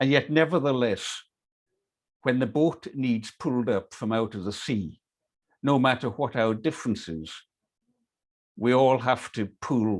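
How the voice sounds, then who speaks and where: With a Hebridean accent, a man of medium pitch talks at a fairly slow pace. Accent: Scottish Hebridean. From Scotland, Isle of Lewis, Outer Hebrides. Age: 60s. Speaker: workshop leader. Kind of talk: online workshop talk.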